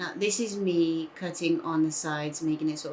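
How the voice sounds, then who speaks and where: Speaking at a moderate pace with fairly even intonation, a woman with a fairly low pitch is heard over noticeable background noise. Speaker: nail art youtuber. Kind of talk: tutorial.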